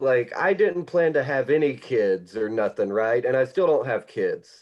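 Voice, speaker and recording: A man speaks with a Southern US accent. His medium-pitched voice holds very even loudness. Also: lively intonation, moderate pace. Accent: Southern US accent, noticeable. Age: 30s. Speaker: comedian. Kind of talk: stand-up.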